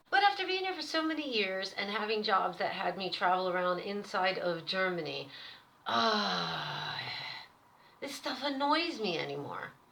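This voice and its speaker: A woman with an American accent speaks in an animated tone, with audible room echo and noticeable background noise. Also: moderate pace. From US, Pennsylvania. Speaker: vlogger. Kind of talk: casual monologue.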